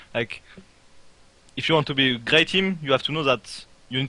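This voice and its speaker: In a French accent, a man speaks with a bright, sharp tone. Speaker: esports player. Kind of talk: interview. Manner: halting.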